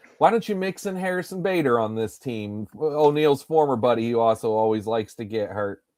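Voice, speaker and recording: Barely pausing, a man speaks at a fairly quick pace and medium pitch with lively intonation. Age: 40s. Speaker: fantasy baseball live streamer. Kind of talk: casual chat. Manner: animated.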